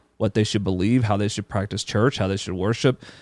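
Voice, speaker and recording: A man talks in an ordinary speaking voice with a fairly low pitch. The recording is very clean and dry, close with no echo, over a silent background. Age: 30s. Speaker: podcast co-host, church deacon, military member. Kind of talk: casual religious discussion podcast. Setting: podcast recording.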